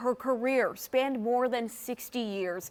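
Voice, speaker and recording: The voice belongs to a woman and is an ordinary speaking voice. It sits fairly high in pitch with ordinary pitch variation. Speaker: television news reporter and anchor. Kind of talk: broadcast news reporting and anchoring.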